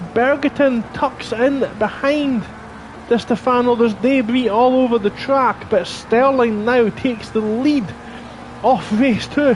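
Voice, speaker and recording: A man with an extremely high pitch, fairly even intonation and very even loudness, speaking fairly slowly over noticeable background noise. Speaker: sim racing commentator. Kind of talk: live commentary.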